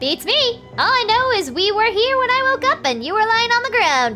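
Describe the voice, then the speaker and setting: Clear music plays in the background behind a put-on character voice. The pitch is extremely high and the pace moderate. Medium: game stream. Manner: bright, enthusiastic.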